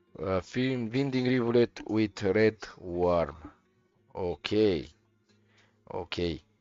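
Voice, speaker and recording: With music in the background, a man with a non-native accent speaks at a very slow pace and a fairly low pitch, his intonation lively and his pauses long and frequent. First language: not English. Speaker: video game streamer. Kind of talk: live gameplay commentary. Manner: halting.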